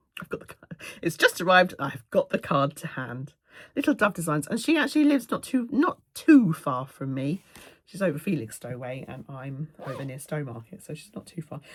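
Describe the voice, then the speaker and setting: A woman's very deep, low voice with a southern English accent, lively intonation, big swings in loudness and a fairly quick pace. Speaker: cross-stitch video creator. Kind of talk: casual chat. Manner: fast.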